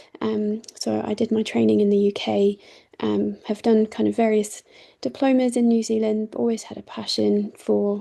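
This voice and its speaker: The speech comes at a moderate speed, in a British accent. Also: woman. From Britain. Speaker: doctor and charity CEO. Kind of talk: online presentation. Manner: hesitant, many fillers.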